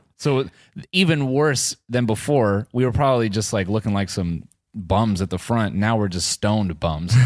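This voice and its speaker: With lively intonation and a fairly low pitch, a man speaks at a moderate pace in an ordinary speaking voice on a very clean recording with a silent background. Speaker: comedian and producer. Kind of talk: casual banter with stand-up bits.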